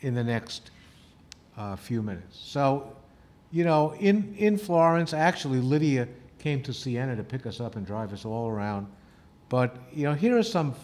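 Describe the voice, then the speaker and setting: Moderate pace from a man with very wide pitch swings and long, frequent pauses. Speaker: travel show host. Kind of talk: presentation to camera about a trip. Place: studio. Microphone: lapel.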